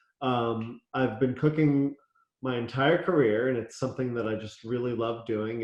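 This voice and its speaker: A man speaks with a Philadelphia accent. His intonation stays fairly even. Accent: American, Philadelphia. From US, Philadelphia (born in Israel). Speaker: chef and restaurant owner. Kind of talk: interview.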